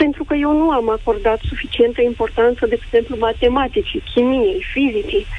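Clear background noise runs under speech delivered at a middling speed. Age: 30s. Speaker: caller. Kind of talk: phone-in call. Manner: formal.

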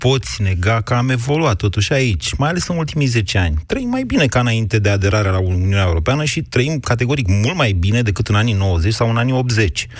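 Somewhat breathy tones come from a man. He speaks at a medium pitch. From southwestern Romania. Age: 40s. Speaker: radio host. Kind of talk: radio debate show. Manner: argumentative.

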